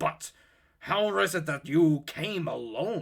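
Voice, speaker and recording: A man puts on a raspy character voice. He speaks at a fairly slow pace. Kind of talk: archaic scriptural speech. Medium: read story. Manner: solemn, measured.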